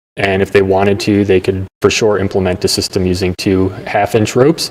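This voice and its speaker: A man speaks at a fairly quick pace in an unremarkable speaking voice. His pitch sits fairly low, and his intonation stays fairly even. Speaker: rope access gear expert. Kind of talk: interview explaining technical gear.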